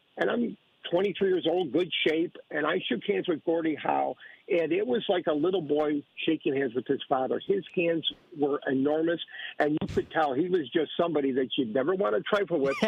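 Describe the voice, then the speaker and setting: A man with a normal speaking voice talks at a fairly high pitch. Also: lively intonation, moderate pace, very even loudness. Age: 60s. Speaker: caller. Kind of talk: casual chat.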